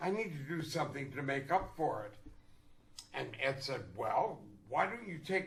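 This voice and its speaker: There's audible room echo as a man with a fairly high pitch and vocal fry speaks at a moderate pace with lively intonation. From Canada. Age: 80s+. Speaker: actor. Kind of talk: casual chat. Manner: animated.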